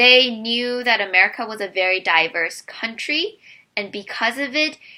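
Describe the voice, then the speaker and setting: A woman with a Korean accent speaks at a moderate pace, her fairly high voice bright and sharp in tone. The recording is very clean with a silent background. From South Korea, moved to US at 10. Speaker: immigrant sharing personal story. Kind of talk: personal testimony.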